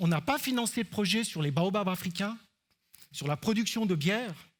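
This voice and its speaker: On a very clean recording with a silent background, a man with an Alpine Swiss accent talks at a moderate pace. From Switzerland, Alpine canton. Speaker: researcher. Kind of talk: conference talk. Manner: hesitant fillers (euh).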